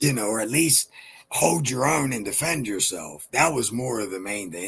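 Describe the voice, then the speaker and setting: The man's intonation is lively as he talks at a moderate pace. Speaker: rapper. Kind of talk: casual interview.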